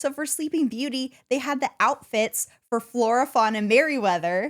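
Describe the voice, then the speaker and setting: Loud and high-pitched, a woman speaks at a moderate pace with ordinary pitch variation in a dry, close, very clean recording with no echo and a silent background. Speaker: podcast co-host. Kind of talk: casual chat.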